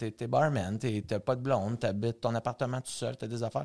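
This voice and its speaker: Recorded very cleanly with a silent background, a man speaks with a Quebec accent at fairly low pitch. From Quebec, Saint-Jean-sur-Richelieu. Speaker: bar owner. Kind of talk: casual interview chat.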